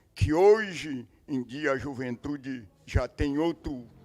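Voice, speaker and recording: Over music in the background, a man with a fairly high voice speaks at a very slow pace. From southern Brazil, Três Forquilhas, Rio Grande do Sul. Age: 70s. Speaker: farmer. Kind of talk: testimony. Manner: halting.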